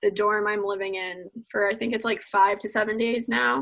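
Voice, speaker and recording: A woman speaks at a moderate pace in a normal speaking voice, her pitch fairly high. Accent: American. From US Northeast, New Jersey. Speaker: college ice hockey player. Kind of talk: casual interview.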